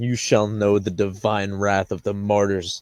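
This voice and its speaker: In a put-on character voice, a man booms at a fairly low pitch in a flat monotone at a moderate pace. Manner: thunderous, wrathful.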